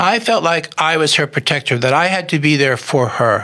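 The speaker talks at a fairly quick pace, and there is noticeable background noise. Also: man. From Philadelphia. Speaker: inventor. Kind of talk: casual chat.

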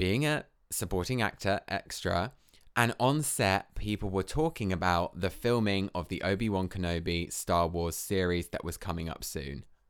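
A man with a southern English accent, very deep and low in pitch, fairly slow, with lively intonation, on a very clean recording against a silent background. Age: 20s. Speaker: podcast host, dancer and drag queen. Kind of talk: casual solo monologue. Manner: chatty, filler-heavy.

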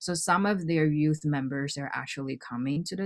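A woman with a very deep, low pitch speaks at a moderate pace in a very clean recording with a silent background. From Hawaii. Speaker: dance company director. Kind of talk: interview.

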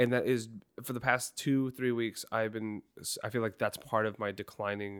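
An unremarkable speaking voice from a man, medium in pitch, at a moderate pace with fairly even intonation, on a very clean recording with a silent background. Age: 20s. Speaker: podcast co-host and telephone line worker. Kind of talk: casual chat.

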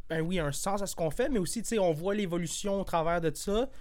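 A man's high voice at a moderate pace, in a very clean recording with a silent background. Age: 20s. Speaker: podcast host. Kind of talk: casual chat.

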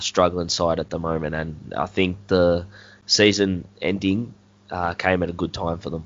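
With an Australian accent, a man speaks at a moderate pace. His very deep, low voice stays monotone and flat. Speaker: podcast host. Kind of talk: casual chat.

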